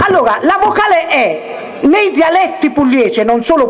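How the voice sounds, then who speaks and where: There is light background noise as a man talks at a fairly slow pace. His pitch swings very widely. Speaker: dialect teacher. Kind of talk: live lecture on dialect spelling to an audience. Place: stage. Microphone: handheld.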